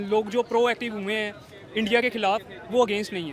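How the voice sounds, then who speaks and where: A man's voice sits at an extremely high pitch, its pitch varying in an ordinary way, with noticeable background noise behind it. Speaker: student. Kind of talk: street interview. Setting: outdoors in a market.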